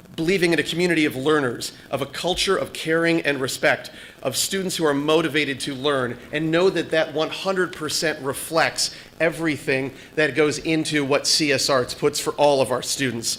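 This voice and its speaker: Noticeable background noise runs beneath a man whose fairly high voice keeps a fairly even intonation. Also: moderate pace. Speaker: parent, public commenter. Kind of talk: public comment at school board meeting.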